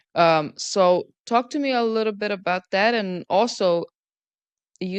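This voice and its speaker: Against a quiet background, a woman with a non-native accent speaks at a fairly slow pace with ordinary pitch variation, in a dry, close sound with no echo. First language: not English. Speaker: podcast interviewer. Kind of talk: interview. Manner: hesitant with fillers.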